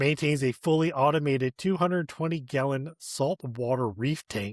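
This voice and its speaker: A man with an American accent, a normal speaking voice, fairly high pitch, ordinary pitch variation and a moderate pace, in a dry, close sound with no echo. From Michigan (Flint area). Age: 40s. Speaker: podcast host. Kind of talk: casual interview chat.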